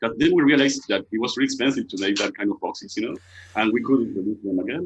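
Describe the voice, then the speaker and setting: A man with an Argentine accent talks at a very fast pace. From Argentina, Buenos Aires. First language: Spanish. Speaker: costume maker, business owner. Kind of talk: interview. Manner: halting.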